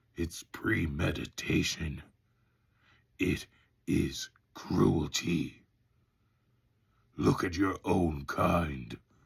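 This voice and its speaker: A man uses a put-on character voice with a very deep, low pitch. He speaks very slowly, with long, frequent pauses. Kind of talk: audiobook audition reading.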